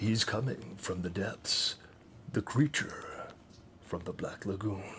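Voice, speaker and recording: A put-on character voice at a fairly slow pace, with clear background noise. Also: man, fairly low pitch for a man. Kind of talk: announcer. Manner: serious, dramatic.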